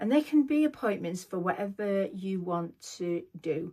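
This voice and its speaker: A woman speaks with a British accent. The recording is very clean, with a silent background. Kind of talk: scripted vlog monologue. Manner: impaired, effortful speech from neurological condition; slow, reading from script.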